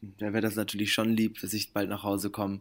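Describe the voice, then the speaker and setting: The man's voice sits fairly low in pitch on a very clean recording with a silent background. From Germany, Bremen. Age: 20s. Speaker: actor, musician and model. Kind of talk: interview.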